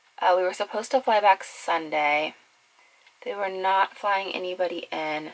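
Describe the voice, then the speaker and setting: A woman's relaxed tone at a moderate pace, with ordinary pitch variation. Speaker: makeup vlogger. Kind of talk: casual get-ready-with-me chat. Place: home room.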